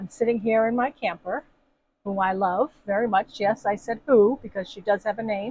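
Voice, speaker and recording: A woman's fairly high, somewhat breathy voice at a moderate pace, with ordinary pitch variation and a dry, close sound with no echo. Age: 60s. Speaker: camping vlogger. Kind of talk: casual video introduction. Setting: inside a camper.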